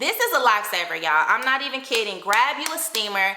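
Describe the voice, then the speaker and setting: A woman talks at a fairly quick pace with a high pitch, with audible room echo and noticeable background noise. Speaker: lifestyle vlogger. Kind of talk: product review vlog. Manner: animated.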